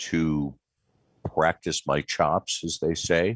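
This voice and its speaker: A man speaks at a very slow pace. The sound is dry and close, with no echo. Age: 60s. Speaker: space artist and illustrator. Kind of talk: interview. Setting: video call. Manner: halting.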